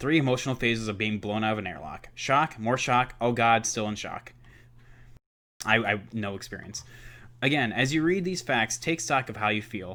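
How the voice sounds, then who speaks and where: On a very clean recording with a silent background, a man speaks at a moderate pace in a bright, sharp tone. His pitch is medium, with ordinary pitch variation. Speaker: student teacher. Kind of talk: think-aloud reading reaction. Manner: casual, filler-heavy (like, uh).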